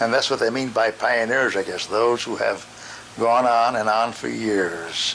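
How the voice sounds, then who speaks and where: With noticeable background noise, a man with an American accent speaks at a fairly slow pace and with fairly even intonation. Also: medium pitch for a man. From US, Connecticut. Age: 90s. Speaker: accordionist and teacher. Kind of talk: interview, life story.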